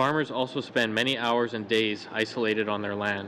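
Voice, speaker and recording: Speaking with a Canadian accent, a man at medium pitch keeps a monotone, flat intonation. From southern Alberta, Canada. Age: 30s. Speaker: farmer testifying at committee. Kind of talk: testimony. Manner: formal.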